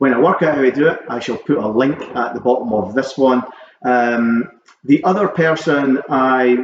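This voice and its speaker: Pitch sitting at a medium level, a man with a Scottish accent speaks with ordinary pitch variation. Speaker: vinyl collector vlogger. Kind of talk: casual vlog chat. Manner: hesitant, many ums.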